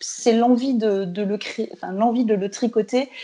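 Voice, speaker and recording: A dark, mellow tone in a flat monotone, delivered at a fairly slow pace. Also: woman. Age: 30s. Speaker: knitwear designer. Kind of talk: interview.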